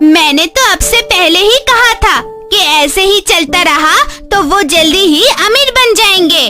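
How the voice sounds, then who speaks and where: A woman's cartoonish character voice at an extremely high pitch, fairly slow pace, with clear music in the background. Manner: scolding, sharp.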